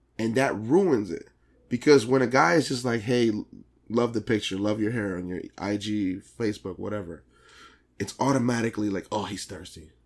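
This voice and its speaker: Recorded very cleanly against a silent background, a man talks at a moderate pace with a fairly low pitch and ordinary pitch variation. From Dominican-American community. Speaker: podcast host. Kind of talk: casual chat. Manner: animated.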